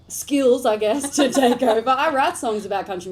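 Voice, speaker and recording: A woman with an American accent talks while noticeable noise carries on in the background. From Australia, rural New South Wales (Inverell). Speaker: country singer-songwriter. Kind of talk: radio interview. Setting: radio studio.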